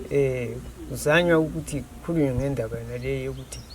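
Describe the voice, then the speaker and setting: There is noticeable background noise and audible room echo. A man with a very deep, low pitch talks at a fairly quick pace. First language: Ndebele. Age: 80s+. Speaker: villager. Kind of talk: interview. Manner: halting.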